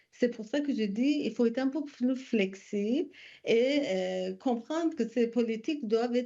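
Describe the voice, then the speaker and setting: Against a quiet background, a woman with a dark, mellow tone speaks at a fairly slow pace in a fairly high pitch, her intonation lively. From immigrant to Quebec, country not given. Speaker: refugee settlement organization representative. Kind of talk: parliamentary committee testimony. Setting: legislative committee hearing. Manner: halting.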